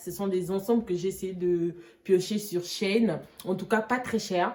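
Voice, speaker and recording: At a very slow pace, a woman with a medium-pitched voice keeps her intonation fairly even. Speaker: fashion YouTuber. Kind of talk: try-on haul vlog.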